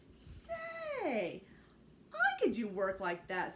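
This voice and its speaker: Over clear background noise, a woman puts on a character voice at a fairly high pitch. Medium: read story. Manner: earnest, simple.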